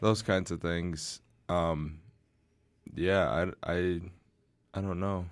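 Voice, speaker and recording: Very deep and low in pitch, a man with a Midwestern American accent speaks at a very slow pace with fairly even intonation and long, frequent pauses, in a very clean recording with a silent background. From Southeast Michigan (Ann Arbor). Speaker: podcast host. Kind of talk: casual chat.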